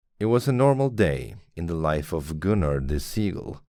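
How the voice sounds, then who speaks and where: On a very clean recording with a silent background, a man talks at a fairly slow pace with a Swedish accent. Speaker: podcaster reading fiction aloud. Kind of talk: reading aloud.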